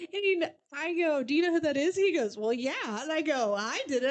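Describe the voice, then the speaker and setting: A woman speaks at a fairly quick pace in a high pitch, her tone animated and her intonation lively, with noticeable background noise. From US Midwest. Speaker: podcast co-host. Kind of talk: casual chat. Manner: fast.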